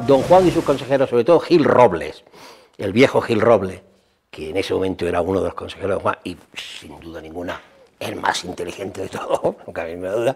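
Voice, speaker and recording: Speaking at a fairly quick pace, a man uses a medium pitch with very wide pitch swings. His loudness shifts in big swings. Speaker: historian interviewee. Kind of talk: interview commentary.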